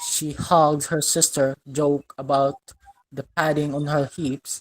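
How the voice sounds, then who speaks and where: Someone speaks in a British accent at a fairly slow pace. The sound is dry and close, with no echo. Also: woman. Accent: British-sounding. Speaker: student. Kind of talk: reading aloud. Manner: halting.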